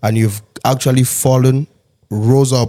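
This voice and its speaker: A man speaks at medium pitch in a dark, mellow tone. His intonation is monotone and flat. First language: not English. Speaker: podcast host. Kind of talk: casual chat.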